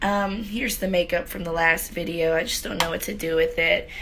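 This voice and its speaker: Noticeable background noise and audible room echo accompany a woman whose pitch varies in an ordinary way. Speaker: beauty vlogger. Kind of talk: casual chat. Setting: home beauty room. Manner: casual, filler-heavy.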